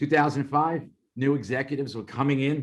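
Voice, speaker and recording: A man speaks with a Brooklyn accent. His pitch sits fairly high. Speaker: former FBI operations manager. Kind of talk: interview testimony. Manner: conversational, animated.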